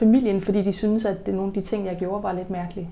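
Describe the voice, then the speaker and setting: This woman has a dark, mellow tone at medium pitch. She speaks at a fairly quick pace. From Jutland, Denmark. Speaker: personal trainer and business owner. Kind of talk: interview. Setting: at her bakery and fitness business.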